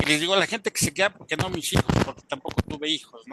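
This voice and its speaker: Recorded with a dry, close sound and no echo, a man speaks with ordinary pitch variation against noticeable background noise. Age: 60s. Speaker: webinar participant. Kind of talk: audience comment in online webinar. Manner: halting, many fillers.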